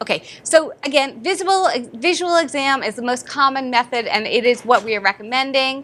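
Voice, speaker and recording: A woman with a high pitch speaks in an animated tone at a fairly quick pace, her intonation lively. Noticeable background noise can be heard. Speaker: dentist and dental educator. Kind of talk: lecture. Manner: fast.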